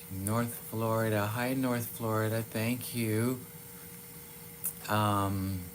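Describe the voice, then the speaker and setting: A man speaks at a very slow pace with long, frequent pauses and audible room echo. His intonation is monotone and flat. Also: medium pitch for a man. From Massachusetts (Waltham), born in Iran. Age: 50s. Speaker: livestreamer, former nightclub performer. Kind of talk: casual live chat reading comments. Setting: live stream.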